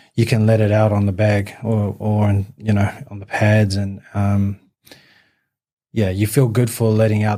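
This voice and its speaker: With a New Zealand accent, a man speaks at a moderate pace in a dark, mellow tone, fairly low in pitch and monotone with flat intonation. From New Zealand, West Auckland (partly raised in Newcastle, England). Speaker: amateur boxer. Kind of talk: podcast interview. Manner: halting, many fillers.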